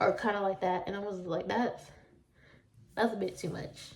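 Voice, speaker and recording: Speaking with a Southern US accent, a woman sounds animated. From US South. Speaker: vlogger. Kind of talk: casual storytime chat.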